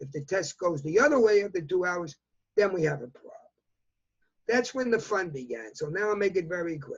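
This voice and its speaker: A man with a New York accent, high-pitched, fairly quick, with lively intonation and big swings in loudness. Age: 80s+. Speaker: fashion industry consultant. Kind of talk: interview answer.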